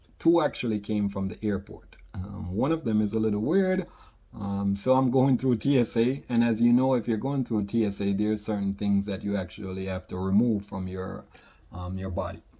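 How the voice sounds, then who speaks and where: A man with a Jamaican accent speaks at a moderate pace in a dark, mellow tone. His pitch is fairly low with ordinary variation. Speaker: author and product creator. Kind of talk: casual vlog monologue.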